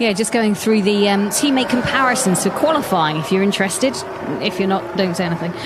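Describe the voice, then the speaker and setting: Behind the speech there is noticeable background noise. A woman talks with lively intonation. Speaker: statistician. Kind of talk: live commentary.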